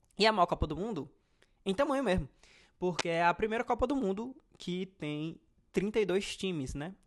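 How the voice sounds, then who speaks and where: This man has a high-pitched voice and lively intonation. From Brazil, Ceará (Fortaleza). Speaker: football fan youtuber. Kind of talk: casual monologue, football commentary. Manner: talkative, rambling with fillers.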